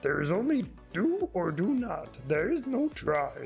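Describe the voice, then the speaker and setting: A put-on character voice speaks with a fairly high pitch at a fairly slow pace. Music plays clearly in the background. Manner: wise, deliberate.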